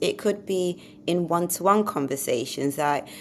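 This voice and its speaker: The voice carries a Mancunian accent. Its intonation is lively. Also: woman. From Manchester, northern England. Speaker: podcast co-host. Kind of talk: casual educational chat.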